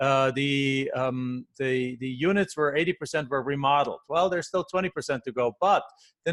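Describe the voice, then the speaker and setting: The speaker goes at a fairly quick pace with ordinary pitch variation, the sound dry and close with no echo. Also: man. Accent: German. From Germany. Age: 40s. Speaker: real estate investor. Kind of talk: podcast interview. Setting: call.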